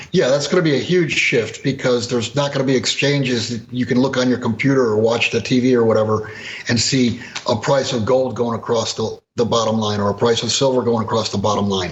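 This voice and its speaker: An unremarkable speaking voice at a fairly quick pace, with fairly even intonation. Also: man, medium pitch for a man. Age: 60s. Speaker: precious metals commentator. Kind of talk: interview.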